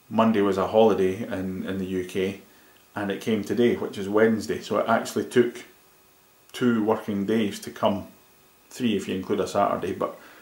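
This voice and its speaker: In a Scottish accent, a man with a fairly low pitch speaks fairly quickly in a monotone, flat intonation, with audible room echo. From Scotland. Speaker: tech reviewer. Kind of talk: product review. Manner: casual with many fillers.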